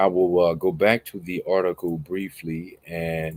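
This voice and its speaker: Speaking at a fairly slow pace, a man uses a very deep, low voice. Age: young. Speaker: online commentator. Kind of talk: news commentary monologue. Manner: casual, with filler words.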